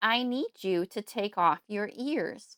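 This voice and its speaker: In a strained, put-on character voice, the speaker goes at a fairly slow pace with lively intonation, recorded dry and close with no echo. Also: woman. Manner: strained, impatient.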